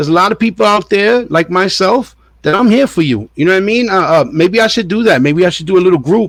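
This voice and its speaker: A man talks at a very fast pace with hardly any pauses. His pitch is high and his intonation lively. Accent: New York. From New York, Puerto Rican family. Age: 50s. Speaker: diet and fitness vlogger. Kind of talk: casual monologue. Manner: casual, repetitive stammering.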